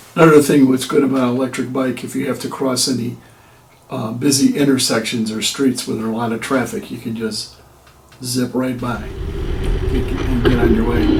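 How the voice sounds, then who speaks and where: A man of medium pitch talks at a moderate pace with fairly even intonation. Audible room echo and noticeable background noise are in the recording. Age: 60s. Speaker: retired vlogger reviewing an e-bike. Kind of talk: casual product review vlog.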